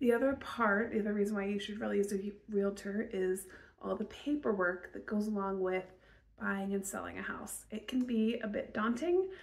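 A woman speaks at a moderate pace, her voice somewhat breathy. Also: ordinary pitch variation. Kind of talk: promotional talk to camera. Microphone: phone near.

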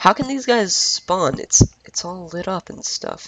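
This is a man speaking. Noticeable background noise is present. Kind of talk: casual gaming commentary. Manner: hesitant, many filler words.

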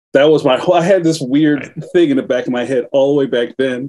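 Against a quiet background, a man with an American accent talks very fast at a fairly high pitch, his tone dark and mellow. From West Philadelphia; Philadelphia. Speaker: cartoonist; guest. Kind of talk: interview. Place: home room. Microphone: video call.

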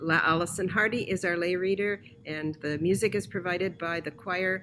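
A woman talks at a moderate pace with ordinary pitch variation. Light background noise sits behind her. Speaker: church announcer. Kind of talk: church announcements. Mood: warm, welcoming. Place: home room.

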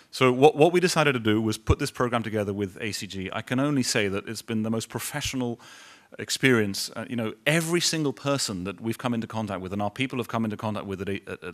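The speaker talks at a very fast pace in a London accent. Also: man, quiet background. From London, England. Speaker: business executive; guest. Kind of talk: speech to audience. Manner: halting. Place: hall. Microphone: podium.

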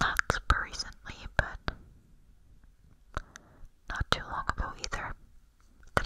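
Whispering and soft-spoken, a woman talks at a fairly slow pace. Noticeable background noise runs beneath her. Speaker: ASMR creator. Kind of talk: whispered ASMR chat. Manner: soft intimate whisper. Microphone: studio mic.

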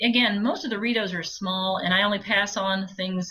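A woman talks at a moderate pace with fairly even intonation and a medium pitch. It is a plain, everyday voice. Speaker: audiobook narrator. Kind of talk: interview answer.

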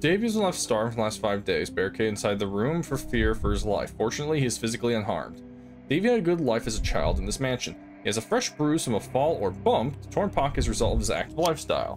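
Faint background music behind a man at medium pitch, fast and slightly mellow, with big pitch swings.

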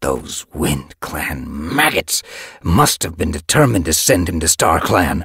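Growling and raspy, a man does a put-on character voice at a very deep, low pitch and a fairly slow pace. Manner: bitter, grieving.

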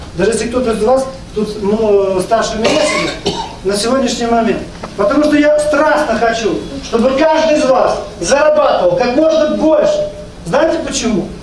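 A man with an extremely high pitch and ordinary pitch variation talks at a moderate pace with long, frequent pauses, amid audible room echo and noticeable background noise. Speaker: network marketing leader. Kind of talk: business presentation. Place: meeting room.

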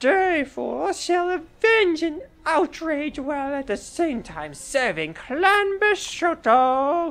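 Music plays in the background behind a put-on character voice. The delivery is theatrical and fairly slow. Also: female-sounding voice, high pitch for a woman. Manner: theatrical, haughty.

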